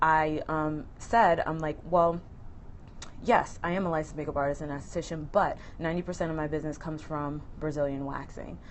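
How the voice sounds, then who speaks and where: This woman has a very deep, low pitch and fairly even intonation, talking at a fairly quick pace. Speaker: makeup artist and beauty business owner. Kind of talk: live-stream tutorial. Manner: fast; casual with frequent um fillers.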